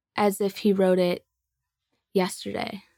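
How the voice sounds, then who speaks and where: A woman's medium-pitched, flat monotone, dry and close with no echo, on a very clean recording with a silent background. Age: 20s. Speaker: bereaved client sharing story. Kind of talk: testimony.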